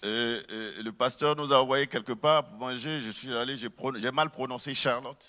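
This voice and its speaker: At a moderate pace with hardly any pauses, a man speaks at a medium pitch with a bright, sharp tone, fairly even intonation and big swings in loudness. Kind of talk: conversational, hesitant.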